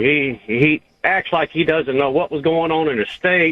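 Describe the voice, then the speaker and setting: A man with a fairly high voice and a Southern US accent, at a moderate pace. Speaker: caller. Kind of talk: call-in radio talk.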